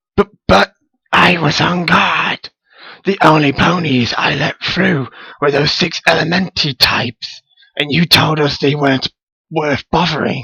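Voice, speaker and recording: The put-on character voice sounds raspy. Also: man, fairly high pitch for a man, fairly slow pace, ordinary pitch variation. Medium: read story. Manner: timid, stammering.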